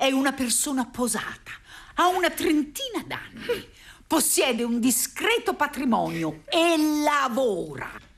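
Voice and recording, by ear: Putting on a character voice, a woman speaks high and fairly bright, with big pitch swings and vocal fry. She goes at a fairly slow pace with few pauses.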